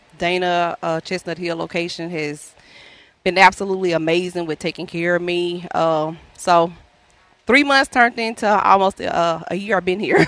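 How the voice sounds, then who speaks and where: A woman with a Louisiana accent, fairly low pitch and ordinary pitch variation. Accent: Southern US (Louisiana). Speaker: traveling healthcare worker and cancer patient. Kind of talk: radio telethon interview, personal story. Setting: live radio broadcast at a ballpark. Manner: fast.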